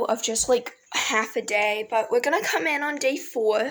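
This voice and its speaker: A woman at a fairly slow pace, ordinary pitch variation, and noticeable background noise. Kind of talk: casual video game commentary. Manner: trying to sound positive.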